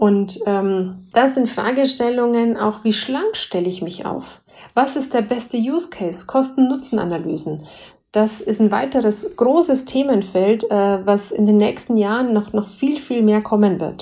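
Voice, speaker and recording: Speaking at a fairly slow pace in a Bavarian accent, a woman has a fairly high pitch, a dark, mellow tone and ordinary pitch variation. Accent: Bavarian tinge. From Bavaria, Germany. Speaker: senior management consultant. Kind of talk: interview. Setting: remote recording.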